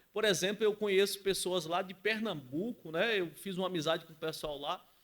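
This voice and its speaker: A man with a Bahian accent speaks at a high pitch. He moves at a fairly quick pace with ordinary pitch variation. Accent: Bahian northeastern Brazilian. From Bahia, Brazil (rural, Camacã). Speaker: entrepreneur. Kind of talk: podcast interview. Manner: confident, articulate.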